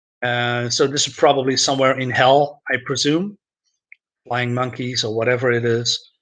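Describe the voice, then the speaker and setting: The tone is bright and sharp, with a moderate pace and fairly even intonation. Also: man. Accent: Dutch. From Netherlands, Groningen. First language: Dutch. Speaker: comics youtuber. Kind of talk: casual live stream review. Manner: halting, many fillers.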